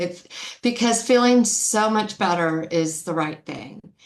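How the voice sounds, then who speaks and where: A woman's fairly high voice, very slow and lively in intonation, with noticeable background noise. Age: 60s. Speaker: customer giving testimonial. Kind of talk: testimony. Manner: halting.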